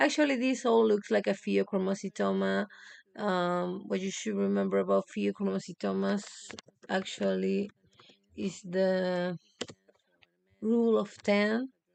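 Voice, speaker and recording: A fairly slow delivery in a Spanish accent, broken by long, frequent pauses. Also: woman. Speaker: medical student. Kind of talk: exam review livestream. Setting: live stream. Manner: halting, many fillers.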